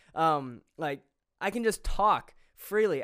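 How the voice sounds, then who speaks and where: A man speaks in a high pitch. His tone is animated. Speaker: podcast host. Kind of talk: solo podcast monologue. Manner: fast talker; excitable, animated.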